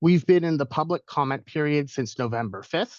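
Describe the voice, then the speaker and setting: This man has a fairly high pitch and speaks at a fairly quick pace. The sound is dry and close with no echo, against a quiet background. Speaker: government policy and rules coordinator. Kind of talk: webinar presentation. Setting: video call webinar. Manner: fast.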